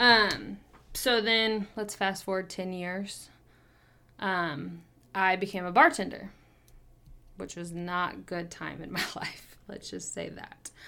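A woman's bright, sharp, medium-pitched voice in an American accent, at a very slow pace with long, frequent pauses and big swings in loudness. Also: ordinary pitch variation. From Kansas City, US Midwest. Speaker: podcast co-host, former bartender. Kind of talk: casual chat.

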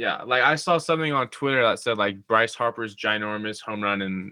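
Here is a man with a fairly low pitch and an unremarkable speaking voice. He talks at a moderate pace with ordinary pitch variation. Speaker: student. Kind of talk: casual chat.

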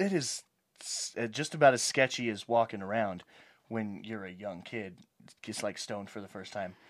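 With big swings in loudness and long, frequent pauses, a man talks at a fairly low pitch with ordinary pitch variation. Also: very clean recording, silent background. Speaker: podcast co-host and rapper. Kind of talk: casual banter. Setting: podcast recording with headphones. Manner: joking, talkative.

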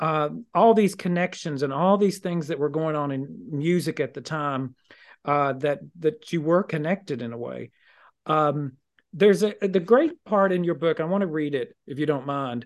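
A man speaks at a moderate pace in an ordinary speaking voice, fairly high-pitched with ordinary pitch variation, against a quiet background. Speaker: podcast co-host. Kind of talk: casual interview conversation.

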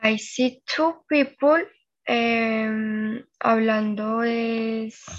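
A woman in a Colombian accent, very slow pace, fairly even intonation. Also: fairly high pitch for a woman. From Colombia, Pereira. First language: Spanish. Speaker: beginner English student. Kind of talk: language lesson. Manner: halting.

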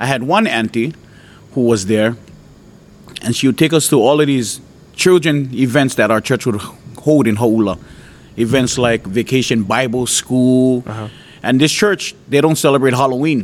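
A man with a Hawaiian accent speaks at a moderate pace in a medium pitch, with ordinary pitch variation and long, frequent pauses. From Hawaii, Oahu. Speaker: preacher. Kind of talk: testimony.

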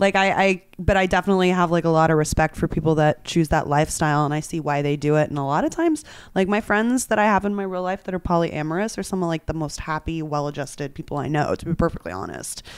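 Someone with an American accent talks at a very fast pace in a very clean recording with a silent background. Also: woman, fairly low pitch for a woman, ordinary pitch variation, hardly any pauses. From Texas. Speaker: podcast co-host. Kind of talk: casual chat.

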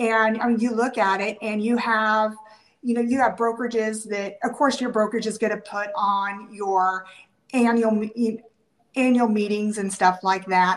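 A woman's normal speaking voice with an American accent, fairly high in pitch, fairly even in intonation, at a moderate pace. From Washington State. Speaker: real estate agent. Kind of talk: interview.

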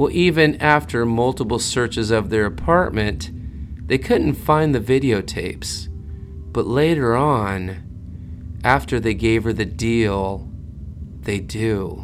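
Music plays in the background as a man speaks at a very slow pace. His pitch is fairly low, with very wide swings. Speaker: true crime podcaster and musician. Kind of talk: casual profane true crime monologue, scripted narration mixed with ad-libbed rants. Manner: self-mocking and jokey.

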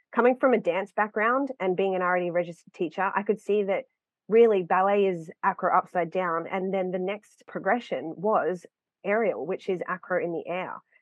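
A woman at medium pitch, moderate pace, and fairly even intonation. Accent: Australian. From Queensland, Australia. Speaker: dance studio owner and acro teacher. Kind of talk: interview.

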